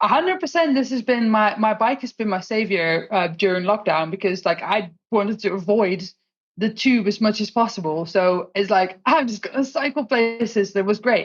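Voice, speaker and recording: Somewhat breathy, a woman speaks at a moderate pace with a fairly high pitch. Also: ordinary pitch variation. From Netherlands. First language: Dutch. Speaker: solutions engineer and tech community organiser. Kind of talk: podcast interview.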